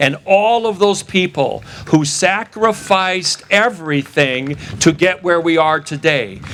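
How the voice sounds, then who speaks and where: Showing ordinary pitch variation, a man speaks with an American accent. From Wisconsin. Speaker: election integrity activist. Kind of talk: rally speech. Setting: outdoor rally with audience. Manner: animated.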